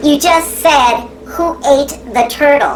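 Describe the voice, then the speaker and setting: Over clear background noise, a female-sounding voice puts on a character voice, pitched high for a woman and delivered at a very slow pace. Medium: comedy sketch. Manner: teasing, playful.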